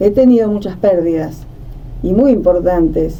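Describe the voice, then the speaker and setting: This woman's intonation is lively, with noticeable background noise behind her. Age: 70s. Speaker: writer and social worker. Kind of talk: conversational podcast discussion.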